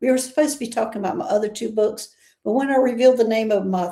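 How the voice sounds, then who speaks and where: A woman with a Southern US accent has a fairly high pitch, a dark, mellow tone and ordinary pitch variation. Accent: Southern US accent, noticeable. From US South. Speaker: interview show host. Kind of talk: casual interview chat.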